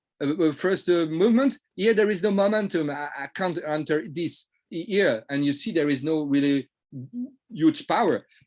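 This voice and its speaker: With a French accent, a man speaks in a high voice at a moderate pace, his intonation lively. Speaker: trading coach. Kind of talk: lecture. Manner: halting.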